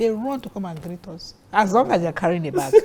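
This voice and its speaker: Speaking at a fairly quick pace with a Nigerian accent, a woman swings her pitch very widely. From Nigeria, Warri. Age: 60s. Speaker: guest sharing her marriage story. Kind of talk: interview. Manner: animated.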